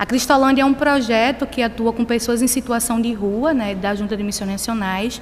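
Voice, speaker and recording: The speaker has a Pernambuco accent and ordinary pitch variation, with noticeable background noise behind the voice. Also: woman. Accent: Northeastern Brazilian (Pernambuco). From Brazil, Pernambuco (small town of Pombos). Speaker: missionary. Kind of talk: sermon. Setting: church.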